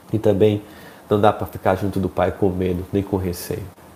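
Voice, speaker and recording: A man's fairly low voice in a monotone, flat delivery at a fairly quick pace. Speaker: spiritual speaker. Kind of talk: live stream talk. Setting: home office, live stream.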